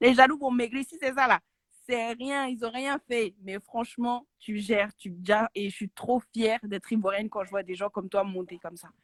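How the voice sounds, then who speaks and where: A woman talks at a moderate pace with a fairly high pitch and ordinary pitch variation. Her loudness swings widely, and the sound is dry and close with no echo. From Côte d'Ivoire. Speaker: caller. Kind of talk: phone-in praise.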